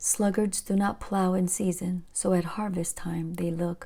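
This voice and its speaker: A woman with a calm, dark, mellow, somewhat breathy voice of medium pitch speaks at a fairly slow pace in a flat monotone. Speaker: Bible reader. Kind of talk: scripture reading. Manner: calm, relaxing.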